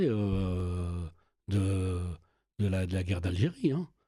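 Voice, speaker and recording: Somewhat breathy, a man speaks in a dark, mellow tone with a dry, close sound and no echo. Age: 60s. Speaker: youth worker and local councillor. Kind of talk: casual chat. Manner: halting, many repetitions.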